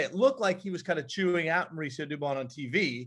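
A man speaks in a plain, everyday voice at a fairly quick pace over a quiet background. His pitch is fairly high, and his intonation is lively. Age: 30s. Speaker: high school athletic director and sports broadcaster. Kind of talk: casual chat.

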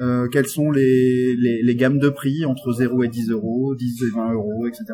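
A man's medium-pitched voice carries over noticeable background noise. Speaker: software developer and tech evangelist. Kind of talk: technical interview. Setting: backstage at a tech conference.

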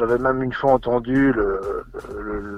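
Music in the background behind a man at a medium pitch. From Belgium, Charleroi (Wallonia). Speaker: charity head and primary school teacher. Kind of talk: radio interview. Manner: hesitant, many repetitions and fillers.

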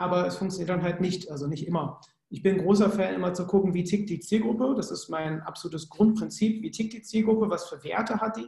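This man speaks with a Cologne accent at a fairly quick pace, his pitch high and his pitch variation ordinary. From Germany, Cologne. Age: 30s. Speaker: sales psychologist. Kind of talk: podcast interview.

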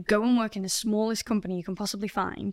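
In a very clean recording with a silent background, a woman speaks with a Yorkshire accent in a monotone, flat intonation. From northern England, Doncaster. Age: 20s. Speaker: leadership coach. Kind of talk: interview.

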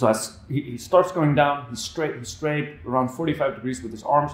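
A man speaks with an Icelandic accent at a fairly high pitch. The room echo is audible. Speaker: handstand coach. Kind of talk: casual interview. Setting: gym.

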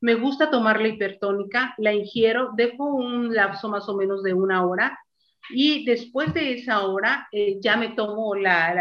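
A woman reads at a fairly slow pace in a normal speaking voice, with ordinary pitch variation. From Mexico. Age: 60s. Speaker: interviewee sharing health testimony. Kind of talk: testimony.

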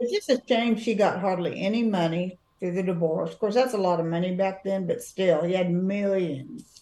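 Hardly pausing, a woman with a plain, everyday voice speaks at medium pitch with ordinary pitch variation. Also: moderate pace. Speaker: podcast co-host. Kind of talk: casual chat. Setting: video call.

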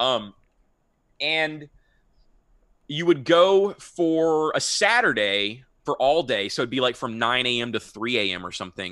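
Speaking in an American accent, a man at medium pitch uses lively intonation and a bright, sharp tone. His pace is fairly slow with long, frequent pauses, on a very clean recording with a silent background. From Texas, Houston. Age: 30s. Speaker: podcast host and former teacher. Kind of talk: casual interview.

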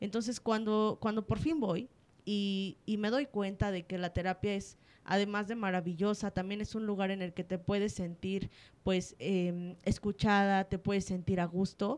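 At a fairly slow pace, a woman of medium pitch speaks with fairly even intonation. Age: 20s. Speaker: psychologist. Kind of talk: interview. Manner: halting.

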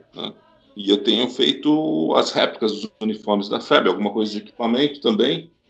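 A man with a São Paulo accent, medium pitch, moderate pace and ordinary pitch variation. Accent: Brazilian Portuguese, São Paulo (paulistano). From São Paulo, Brazil. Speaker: history professor. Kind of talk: interview. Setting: video call.

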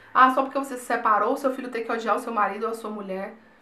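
The speech comes at a very fast pace. Noticeable background noise and audible room echo fill the recording. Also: woman. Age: 20s. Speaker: YouTuber. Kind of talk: personal vlog talk.

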